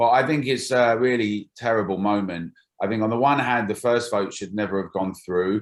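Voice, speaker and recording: A London accent with ordinary pitch variation. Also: man, fairly low pitch for a man, moderate pace. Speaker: campaign group founder. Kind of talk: political interview.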